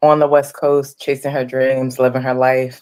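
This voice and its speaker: Speaking with a Philadelphia accent, a woman holds a very deep, low pitch in monotone, flat intonation. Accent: Philadelphia American English. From Philadelphia, US. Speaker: writer and producer. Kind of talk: interview.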